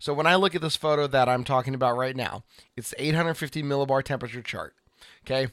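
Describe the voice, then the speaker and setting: A man with an American accent speaks in a plain, everyday voice at a fairly high pitch with ordinary variation, on a very clean recording with a silent background and a dry, close sound with no echo. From Oregon. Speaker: weather podcast co-host, former TV weather producer. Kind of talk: casual chat.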